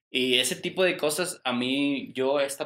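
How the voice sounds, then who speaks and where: With lively intonation and a fairly high pitch, a man talks in an ordinary speaking voice. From Mexico. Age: 20s. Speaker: podcast guest. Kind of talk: casual chat.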